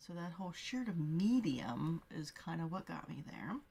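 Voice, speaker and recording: A soft-spoken woman talks at a moderate pace, somewhat breathy. Her pitch swings very widely. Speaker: beauty vlogger. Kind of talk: product review.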